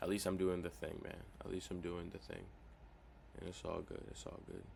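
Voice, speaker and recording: A man's very deep, low voice with vocal fry, a fairly quick pace and audible room echo. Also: ordinary pitch variation. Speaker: cold-calling vlogger. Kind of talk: casual vlog while making calls. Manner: quiet.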